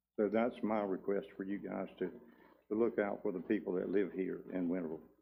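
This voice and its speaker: At a moderate pace, a man speaks in a fairly low pitch with a dark, mellow tone and fairly even intonation. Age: 60s. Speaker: local resident speaking at public hearing. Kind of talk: public comment at town meeting.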